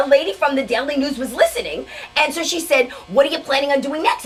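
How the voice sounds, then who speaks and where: Over music in the background, a woman speaks very fast in a high pitch. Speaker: stand-up comic. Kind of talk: interview answer.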